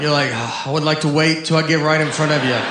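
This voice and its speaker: Over noticeable background noise, a man with an American accent talks very fast at a fairly high pitch. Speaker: stand-up comedian. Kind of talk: stand-up comedy set. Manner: deadpan, awkward.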